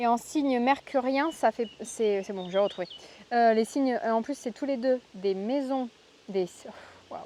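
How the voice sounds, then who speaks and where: Her pitch high, a woman speaks at a fairly slow pace with long, frequent pauses and ordinary pitch variation. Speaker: tarot card reader. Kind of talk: tarot reading. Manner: halting, many fillers.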